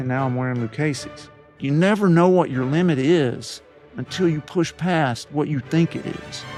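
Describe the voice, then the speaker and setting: Music plays behind a man who talks at a moderate pace with ordinary pitch variation. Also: fairly high pitch for a man. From East Tennessee, Appalachia. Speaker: pediatric cardiologist and podcast host. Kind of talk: interview answer.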